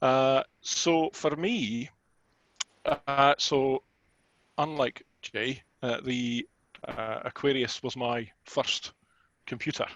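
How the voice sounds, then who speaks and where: In a Scottish accent, a man talks at a very slow pace with long, frequent pauses. The sound is dry and close, with no echo. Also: medium pitch for a man, fairly even intonation. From Scotland. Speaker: retro computer hobbyist. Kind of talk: casual chat. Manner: hesitant, many fillers.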